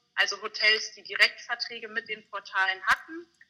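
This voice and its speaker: A woman's fairly high voice, an ordinary speaking voice, with fairly even intonation. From Bavaria, mountains. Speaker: communications graduate. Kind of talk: interview.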